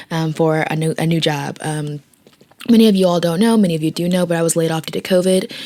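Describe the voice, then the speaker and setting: The woman has an ordinary speaking voice with a fairly low pitch. She talks at a fairly quick pace with fairly even intonation. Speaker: vlogger; small business owner. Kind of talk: casual talk to camera. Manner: casual, chatty.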